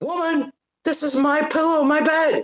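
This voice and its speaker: A man performs a put-on character voice at an extremely high pitch. The pace is moderate. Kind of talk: sassy. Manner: indignant, hissing.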